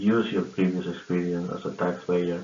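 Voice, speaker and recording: A man with a non-native accent at a moderate pace, very deep, low pitch and fairly even intonation, with audible room echo. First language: not English. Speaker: fraud prevention worker sharing tips. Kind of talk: informal awareness talk to camera. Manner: halting, many fillers and repetitions.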